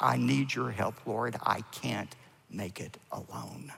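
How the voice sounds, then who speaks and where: Putting on a raspy character voice, a man speaks fairly low and fairly slowly, his pitch swinging very widely. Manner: pleading, desperate.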